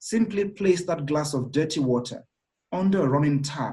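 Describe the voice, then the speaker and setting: Pitched fairly high, a man's somewhat breathy voice with a dark, mellow tone moves at a moderate pace. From Nigeria. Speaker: executive director and thought leader. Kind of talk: interview.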